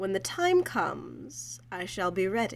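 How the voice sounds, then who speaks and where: Against clear background noise, a female-sounding voice does a put-on character voice at a fairly slow pace. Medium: audio drama.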